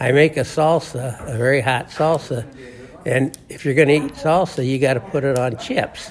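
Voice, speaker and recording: Noticeable background noise sits behind a man's fairly high-pitched voice. He keeps a moderate pace and fairly even intonation. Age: 80s+. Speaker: weight loss program client. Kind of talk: interview testimony. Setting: program weigh-in at the office.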